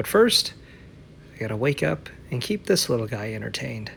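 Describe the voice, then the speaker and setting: A man talks with vocal fry and lively intonation. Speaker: wrestling ring announcer. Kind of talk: vlog voiceover narration. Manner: casual.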